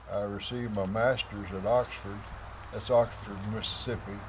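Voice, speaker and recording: Noticeable background noise and audible room echo surround a man speaking. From Missouri Ozarks. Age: 80s+. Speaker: local elder. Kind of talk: interview.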